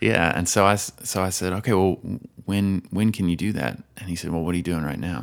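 A man's very deep, low voice with ordinary pitch variation and an American accent. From US South, Nashville area (Tennessee). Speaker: musician and tech entrepreneur. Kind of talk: casual interview.

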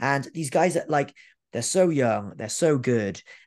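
A man with a Welsh accent speaks at medium pitch. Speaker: professional wrestler. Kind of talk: interview.

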